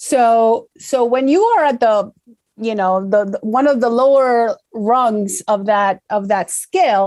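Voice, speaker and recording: Very slowly, a woman speaks with an Argentine accent at a fairly high pitch and ordinary pitch variation. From Argentina. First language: Spanish. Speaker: corporate public affairs director. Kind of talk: interview. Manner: halting, many fillers and repetitions.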